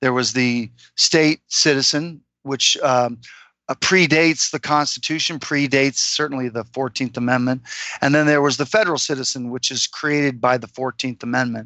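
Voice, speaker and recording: A man with a medium pitch talks at a moderate pace, keeping his intonation fairly even. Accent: American. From Florida, US. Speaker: freedom consultant. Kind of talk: interview. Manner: halting, many fillers.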